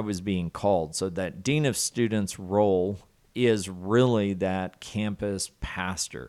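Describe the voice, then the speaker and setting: A man with a Southern US accent, fairly low-pitched, with ordinary pitch variation, on a very clean recording against a silent background. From US South, southwest Arkansas. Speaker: college student dean. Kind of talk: casual interview.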